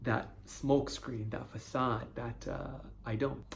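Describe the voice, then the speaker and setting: A man's voice carries audible room echo. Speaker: video blogger on stuttering. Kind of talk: personal vlog monologue. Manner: stutter; halting, with fillers and repetitions.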